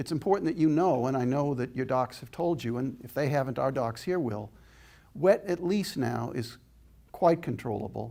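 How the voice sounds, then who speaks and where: A man with a slight Boston accent, a dark, mellow tone, vocal fry, medium pitch and a moderate pace. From Boston, Massachusetts. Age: 70s. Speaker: inspirational speaker. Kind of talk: public lecture with audience Q&A. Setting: stage with audience. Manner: animated.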